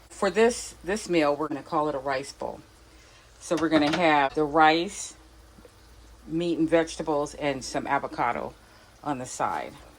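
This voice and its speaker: A woman with a very deep, low pitch speaks at a moderate pace, pausing long and often. Her pitch varies in an ordinary way, and there is noticeable background noise. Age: old. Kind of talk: casual cooking vlog narration.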